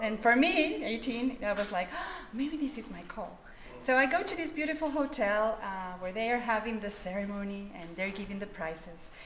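A woman with a fairly high pitch speaks at a moderate pace, her pitch swinging very widely. Light background noise and audible room echo are present. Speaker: author. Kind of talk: conference keynote address. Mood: warm, reminiscent. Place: hall. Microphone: podium.

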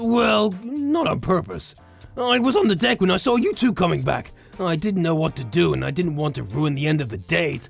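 A put-on character voice at middle pitch plays over clear music in the background. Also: moderate pace. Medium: role play. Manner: playful, teasing.

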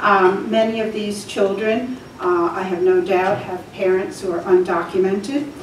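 An American-accented woman talks with hardly any pauses and ordinary pitch variation, with light background noise and audible room echo. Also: moderate pace. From New Jersey. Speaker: church volunteer and resident giving public comment. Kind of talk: public comment. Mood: earnest, calm. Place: meeting room.

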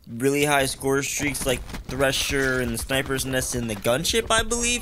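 A man talks fairly slowly and with lively intonation while noticeable background noise carries on. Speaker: gaming YouTuber. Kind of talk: gameplay commentary. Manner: casual, filler-heavy.

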